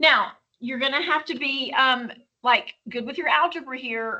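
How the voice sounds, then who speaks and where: Projecting in a raised voice, a woman speaks at high pitch. Her pace is moderate. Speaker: high school chemistry teacher. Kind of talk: recorded lecture. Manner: casual, with many fillers.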